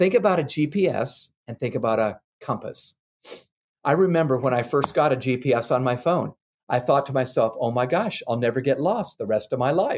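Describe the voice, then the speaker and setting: A man's plain, everyday voice, medium in pitch, with lively intonation and a fairly quick pace. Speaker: author and leadership expert. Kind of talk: interview answer.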